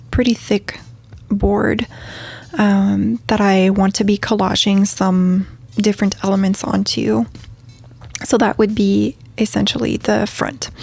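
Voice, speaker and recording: With noticeable background noise behind her, a woman speaks in a relaxed tone at a medium pitch and a very slow pace. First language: French. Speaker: craft video creator. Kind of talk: tutorial. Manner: relaxed with many fillers.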